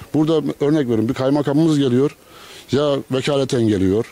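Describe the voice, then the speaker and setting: Ordinary pitch variation, a fairly quick pace, and a dry sound with no echo. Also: man. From Turkey. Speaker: local resident; interviewee. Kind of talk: street interview. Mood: complaining, earnest. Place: street. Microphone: handheld.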